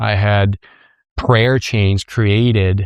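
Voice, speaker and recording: Fairly even intonation marks this man's fairly low voice. The sound is dry and close with no echo against a quiet background. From Colombia (Medellín), then Michigan from age 10. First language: Spanish. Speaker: company co-founder. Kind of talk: personal storytelling interview.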